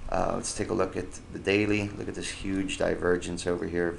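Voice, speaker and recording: In a room with audible echo, a man talks in a very deep, low voice with monotone, flat intonation. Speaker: stock market commentator. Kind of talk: screen-share market analysis tutorial. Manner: fast; hesitant, many fillers.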